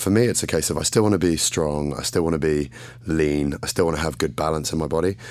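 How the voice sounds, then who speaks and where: Speaking at a very fast pace with an English accent, a man with a very deep, low pitch uses ordinary pitch variation. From England. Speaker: fitness model and bodybuilding champion. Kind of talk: casual interview chat.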